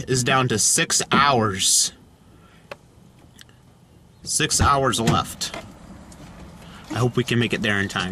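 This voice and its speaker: Against light background noise, a man speaks at a fairly slow pace. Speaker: road trip vlogger. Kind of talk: casual vlog chat. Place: car.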